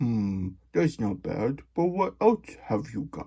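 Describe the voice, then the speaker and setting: Using a put-on character voice, a man speaks at a fairly slow pace with a medium pitch. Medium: read story. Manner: polite, fussy.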